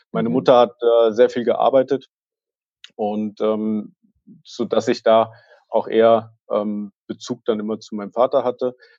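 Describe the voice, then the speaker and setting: A man's dark, mellow voice at medium pitch, flat and monotone, fairly slow with long, frequent pauses, in a dry, close sound with no echo. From Germany, near Fulda (Hesse). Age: 20s. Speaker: management consultant and author. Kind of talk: podcast interview.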